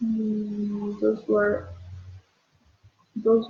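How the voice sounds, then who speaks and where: A woman talks with a Bolivian accent in a fairly high voice. Her tone is dark and mellow and somewhat breathy. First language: Spanish. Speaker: beauty pageant contestant. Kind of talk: casual livestream chat answering viewer questions. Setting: at home, live video stream. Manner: halting, with repeated words.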